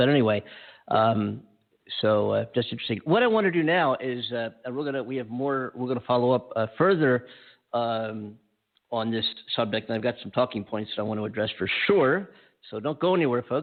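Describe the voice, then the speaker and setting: Speaking at a fairly quick pace, a man has a medium pitch, ordinary pitch variation and an unremarkable speaking voice. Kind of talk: talk radio show host.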